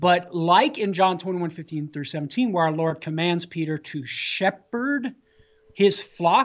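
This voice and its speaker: A woman talks at a moderate pace, her pitch fairly low, in a plain, everyday voice. Her intonation is lively. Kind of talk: radio interview, apologetics talk.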